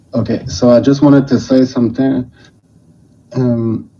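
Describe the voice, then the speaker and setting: A man with a Quebec accent, medium pitch and fairly even intonation. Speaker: caller. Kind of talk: call-in to livestream. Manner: halting. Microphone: hears own echo.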